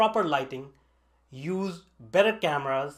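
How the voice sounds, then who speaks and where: At a moderate pace, a man speaks with lively intonation on a very clean recording with a silent background. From northern India. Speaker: online tech instructor. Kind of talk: scripted narration. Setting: basement home studio.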